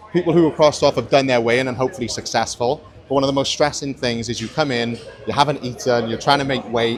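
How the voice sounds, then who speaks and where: At a very fast pace, a man with a medium pitch talks over noticeable background noise. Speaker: podcast host and powerlifter. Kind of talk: casual vlog walkthrough. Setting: walking around a gym venue. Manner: animated.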